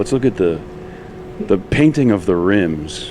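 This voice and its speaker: Through noticeable background noise, a man with a very deep, low pitch speaks at a moderate pace with lively intonation. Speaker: vlogger. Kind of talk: casual chat. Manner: animated.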